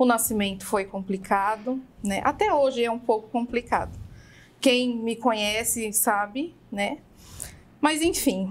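A woman's fairly high, fairly slow voice with ordinary pitch variation. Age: 30s. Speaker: burger restaurant owner; guest. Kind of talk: interview conversation. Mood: reflective, recounting hard times. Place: studio. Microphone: studio mic.

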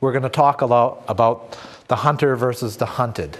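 Here a man talks at a moderate pace with a Canadian accent. His pitch sits in the medium range. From Canada. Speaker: retired police officer, trainer; guest. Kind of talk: lecture. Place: studio. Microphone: lapel.

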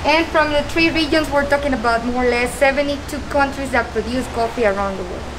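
Music plays in the background as a woman speaks at a high pitch. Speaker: tour guide. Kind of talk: guided tour explanation. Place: open country.

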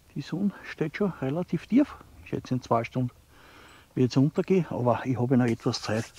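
Speaking fairly quickly in an Austrian Bavarian accent, a man with a medium pitch and a dark, mellow, somewhat breathy tone uses lively intonation in a dry, close sound with no echo. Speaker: outdoor vlogger. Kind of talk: walking vlog narration. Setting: outdoors in a forest.

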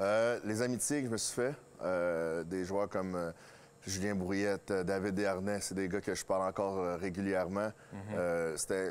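Fairly slow, fairly even-toned speech from a man. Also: fairly low pitch for a man. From Quebec (Drummondville); Quebec. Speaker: hockey coach and former player; interviewee. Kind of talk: interview. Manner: halting. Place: stadium. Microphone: lapel.

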